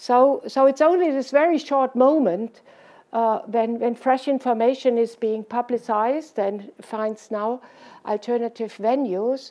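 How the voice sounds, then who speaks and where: In a strong German accent, a woman with a high pitch speaks at a fairly slow pace with ordinary pitch variation. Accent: heavy German. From Germany. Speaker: social scientist, invited lecturer. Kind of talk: Q&A after lecture. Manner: halting, many repetitions.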